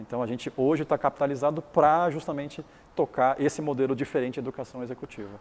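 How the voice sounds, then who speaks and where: Fairly even intonation accompanies very fast speech. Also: man, fairly high pitch for a man. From Taiwan. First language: Chinese (speaking Portuguese). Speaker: business founder and educator. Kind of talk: interview.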